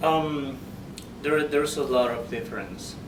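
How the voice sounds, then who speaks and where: A man's very slow speech in a Spanish accent, fairly even in intonation, with noticeable background noise and audible room echo. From Peru. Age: 30s. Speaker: author. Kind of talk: interview. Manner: halting, many fillers.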